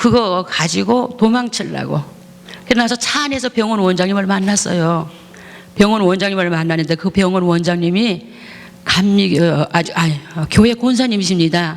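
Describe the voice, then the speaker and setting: With noticeable background noise around her, a woman talks at a moderate pace and ordinary pitch variation. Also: medium pitch for a woman. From Gangwon Province, South Korea. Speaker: pastor. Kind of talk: testimony. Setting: church.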